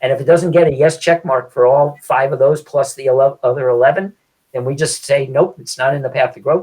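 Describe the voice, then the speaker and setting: Speaking at a fairly quick pace, a man with a fairly high pitch sounds somewhat breathy and keeps his intonation fairly even. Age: 70s. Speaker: real estate agent and land investment salesperson. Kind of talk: podcast interview.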